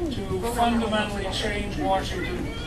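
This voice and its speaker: A man speaks at a moderate pace while loud background noise plays. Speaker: candidate. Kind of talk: campaign speech. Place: cafe.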